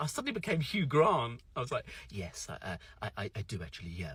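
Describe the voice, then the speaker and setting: A British accent at a fairly quick pace, with very wide pitch swings. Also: man. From UK. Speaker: social media creator. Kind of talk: storytelling monologue. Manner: animated.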